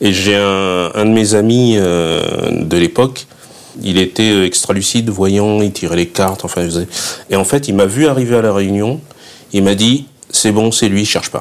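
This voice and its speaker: Against noticeable background noise, a man speaks at a fairly low pitch and fairly slow pace with ordinary pitch variation. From southern France, Fréjus. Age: 50s. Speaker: guest-house owner. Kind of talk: interview. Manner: hesitant, with repetitions.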